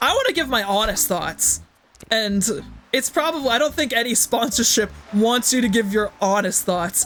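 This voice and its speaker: An upbeat tone over noticeable background noise. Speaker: gaming streamer. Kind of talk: casual live stream chat. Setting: live stream with chat. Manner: upbeat, hyper.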